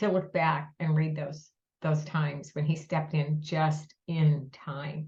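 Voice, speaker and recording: A woman's very deep, low voice, somewhat breathy, moves at a very slow pace in a monotone, flat intonation. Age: 70s. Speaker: breast cancer nonprofit founder. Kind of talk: podcast interview.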